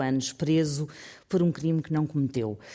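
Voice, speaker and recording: The recording is very clean, with a silent background. A woman speaks at a very deep, low pitch in a dark, mellow tone. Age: 50s. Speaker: radio columnist. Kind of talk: radio segment, news story telling.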